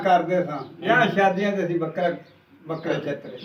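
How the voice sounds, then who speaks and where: Noticeable background noise accompanies a man whose high voice shows ordinary pitch variation. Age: old. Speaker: partition survivor. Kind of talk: interview answer.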